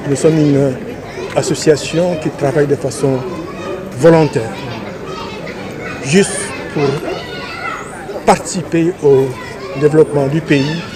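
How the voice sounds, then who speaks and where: A man's fairly high-pitched voice at a fairly slow pace, with fairly even intonation, long, frequent pauses, and crowd noise in the background. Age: 80s+. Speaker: academy president and scientist. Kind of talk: interview statement. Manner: hesitant with fillers.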